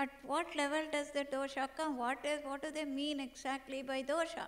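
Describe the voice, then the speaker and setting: This woman's high-pitched voice stays monotone, with flat intonation throughout. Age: 60s. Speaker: medical doctor and yoga researcher. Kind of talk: conference keynote lecture.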